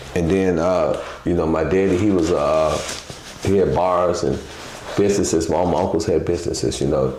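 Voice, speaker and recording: A man with a very deep, low voice speaks at a moderate pace with fairly even intonation, with audible room echo and noticeable background noise. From Chicago. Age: 60s. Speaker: former pimp turned entrepreneur. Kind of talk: interview, life story. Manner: casual, rambling with fillers.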